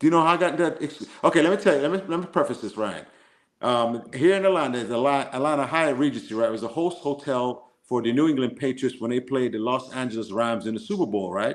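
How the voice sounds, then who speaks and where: A man with an American accent at a medium pitch, very fast pace and lively intonation. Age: 50s. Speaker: football coach. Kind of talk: casual chat. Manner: animated.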